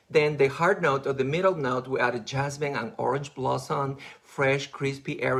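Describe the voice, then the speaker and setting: A man with a non-native accent and a fairly high pitch speaks in an animated tone at a moderate pace. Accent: noticeable non-native English. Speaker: makeup artist. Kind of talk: live beauty product presentation.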